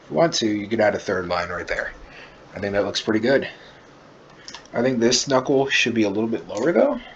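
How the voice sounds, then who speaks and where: A man talks at a very fast pace broken by long, frequent pauses, with noticeable background noise. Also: medium pitch for a man, ordinary pitch variation. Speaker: art tutorial creator. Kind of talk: drawing tutorial. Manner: casual, filler-heavy. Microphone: far from the mic, poor mic quality.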